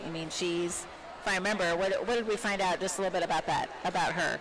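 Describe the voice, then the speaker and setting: Noticeable background noise runs behind a woman as she talks. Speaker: teacher and volleyball commentator. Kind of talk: live sports commentary. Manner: projecting teacher voice.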